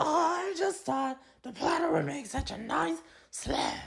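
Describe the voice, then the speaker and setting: A raspy, high-pitched, put-on character voice at a fairly slow pace. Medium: audio drama. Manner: growly, blunt.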